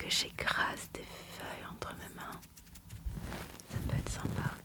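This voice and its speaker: A woman whispers very slowly, with noticeable background noise behind her. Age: 20s. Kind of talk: ASMR self-introduction. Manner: whispered.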